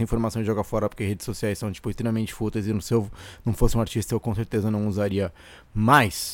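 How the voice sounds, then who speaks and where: At a very fast pace, a man talks in a medium-pitched voice. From Brazil, Santos (São Paulo coast). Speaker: comedian and musician, podcast host. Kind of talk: casual solo monologue. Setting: home recording in bedroom. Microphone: condenser studio mic with audio interface.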